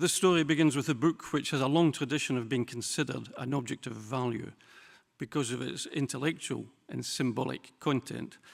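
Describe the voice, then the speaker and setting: Medium-pitched male speech with vocal fry at a fairly quick pace, ordinary pitch variation, and a very clean recording with a silent background. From Scotland. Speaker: typography specialist and museum director. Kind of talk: lecture. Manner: formal.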